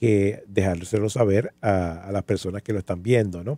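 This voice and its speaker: The man's tone is dark and mellow, and he speaks at a fairly slow pace. The sound is dry and close with no echo. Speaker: podcast host. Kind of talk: casual chat.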